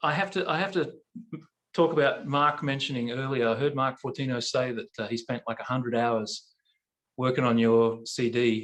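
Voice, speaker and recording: A man with an Australian accent speaks at a moderate pace. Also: medium pitch for a man, ordinary pitch variation. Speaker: barbershop quartet singer. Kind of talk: casual chat. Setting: video call.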